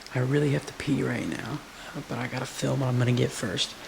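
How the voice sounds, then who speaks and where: A man's medium-pitched voice with very wide pitch swings, a moderate pace and noticeable background noise. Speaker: vlogger. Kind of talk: casual vlog narration. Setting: at home, in the kitchen at night.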